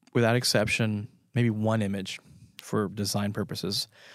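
In a very clean recording with a silent background, a normal speaking voice carries fairly even intonation. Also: man. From France, moved to the US at age five. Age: 40s. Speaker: photographer. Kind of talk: interview.

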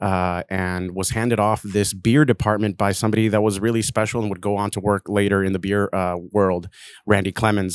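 Over a very clean recording with a silent background and a dry, close sound with no echo, a man with an American accent speaks at a moderate pace in a monotone, flat intonation and a fairly low pitch. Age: 30s. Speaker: craft beer brand manager. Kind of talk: casual chat.

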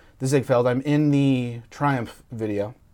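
At a moderate pace, this man talks in an ordinary speaking voice with ordinary pitch variation. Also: very clean recording, silent background. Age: 30s. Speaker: entertainment journalist. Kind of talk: casual interview.

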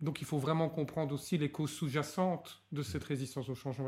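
The recording is very clean, with a silent background. A man speaks in a somewhat breathy voice with a fairly high pitch. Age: 40s. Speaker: organizational change consultant. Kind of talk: interview. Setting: hotel recording session.

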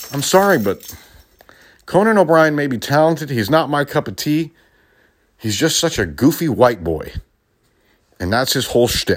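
The recording is very clean, with a silent background. A man talks at a moderate pace and a fairly high pitch, with lively intonation and long, frequent pauses. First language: Spanish. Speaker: podcast host, former radio DJ. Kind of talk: political commentary monologue. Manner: animated, laughing often.

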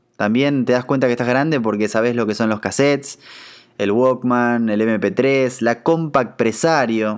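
Over a quiet background, a man with a normal speaking voice talks at a fairly slow pace, medium in pitch and fairly even in intonation. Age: 30s. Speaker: podcast host. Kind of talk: casual monologue.

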